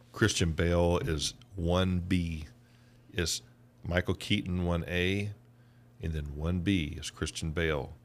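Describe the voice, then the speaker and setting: A man with a Southern US accent speaks at a fairly slow pace, leaving long, frequent pauses. His very deep, low voice keeps fairly even intonation. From US South, Georgia. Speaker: podcast co-host. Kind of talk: casual chat.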